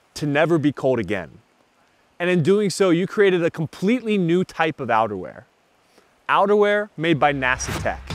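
The voice moves at a moderate pace with very wide pitch swings, heard in a dry sound with no echo. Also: man. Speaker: presenter. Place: forest.

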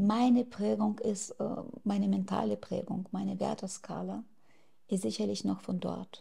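In a quiet setting, a female speaker goes at a fairly slow pace. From Ukraine. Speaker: activist; interviewee. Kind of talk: interview. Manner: hesitant with fillers. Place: home room. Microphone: lapel.

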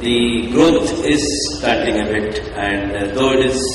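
Audible room echo and light background noise accompany a man speaking with ordinary pitch variation. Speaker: keynote speaker. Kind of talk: conference speech. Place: hall. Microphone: podium.

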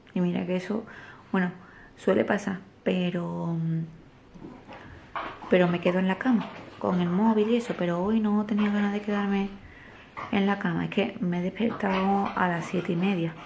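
A woman with medium pitch and monotone, flat intonation speaks at a moderate pace with long, frequent pauses amid noticeable background noise. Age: 20s. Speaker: family vlogger, stay-at-home mother. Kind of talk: casual vlog talk to camera. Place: home room. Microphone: phone near.

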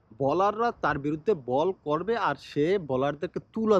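The voice sweeps through very wide pitch swings, and the sound is dry and close with no echo. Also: man. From Bangladesh. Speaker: YouTuber, cricket commentator. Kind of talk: vlog monologue.

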